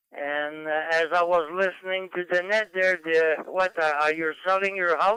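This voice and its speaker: A bright, sharp tone at a fairly slow pace, with a dry, close sound and no echo. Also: man. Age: 80s+. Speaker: ham radio operator. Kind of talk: radio net check-in. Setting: amateur radio link. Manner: halting, many fillers.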